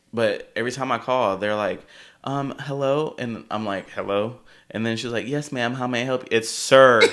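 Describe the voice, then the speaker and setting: Delivery comes at a moderate pace. The recording is very clean, with a silent background. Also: man. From California. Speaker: drag king and podcast guest. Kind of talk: casual chat. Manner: animated.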